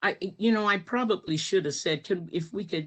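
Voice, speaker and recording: A woman's speech shows ordinary pitch variation, set against a quiet background. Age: 60s. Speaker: retired educator, descendant of a legislator. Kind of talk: presentation of family photos in a virtual talk. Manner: halting, many fillers.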